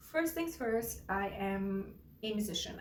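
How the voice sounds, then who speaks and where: Very slow speech from a woman with a fairly high pitch, audible room echo around her. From India. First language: Gujarati. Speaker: singer-songwriter and artist. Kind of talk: personal introduction vlog. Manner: halting, repeats words.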